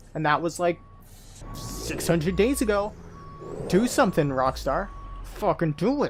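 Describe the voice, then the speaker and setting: Music plays in the background as the speaker leaves long, frequent pauses. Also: moderate pace. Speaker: gaming YouTuber. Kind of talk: gameplay commentary. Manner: casual, profane.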